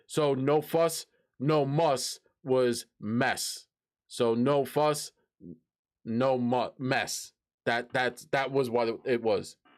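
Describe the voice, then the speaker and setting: A man with a strong New York accent speaks at a very slow pace and a medium pitch. His pitch variation is ordinary, and the recording is very clean with a silent background. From New York City (Brooklyn, Queens). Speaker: streamer. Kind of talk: casual live-stream chat. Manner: halting, repeats words.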